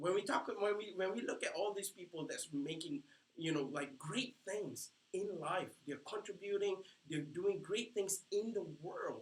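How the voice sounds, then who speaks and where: With a non-native accent, a man speaks fairly slowly in a high voice, his tone animated and his pitch variation ordinary. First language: not English. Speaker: life coach. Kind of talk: training seminar. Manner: halting.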